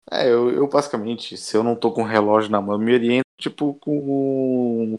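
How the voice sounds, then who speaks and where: A man speaks in a plain, everyday voice, medium in pitch with ordinary pitch variation. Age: 20s. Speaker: Italian-Brazilian emigrant. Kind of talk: interview.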